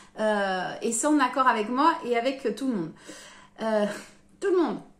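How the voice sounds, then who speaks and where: There is audible room echo around this woman's voice. She speaks at a fairly high pitch with lively intonation. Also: fairly slow pace. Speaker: tarot card reader. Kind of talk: guided card reading. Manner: animated.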